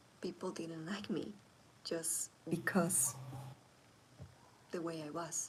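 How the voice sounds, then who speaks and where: The voice is quiet and moves at a very slow pace. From Latin America. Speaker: content creator. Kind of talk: casual livestream talk. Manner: quiet, low volume.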